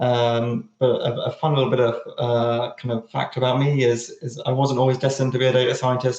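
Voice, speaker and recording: This man speaks with a British accent. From United Kingdom. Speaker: data science team lead. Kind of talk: presentation. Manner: halting, many fillers and repetitions.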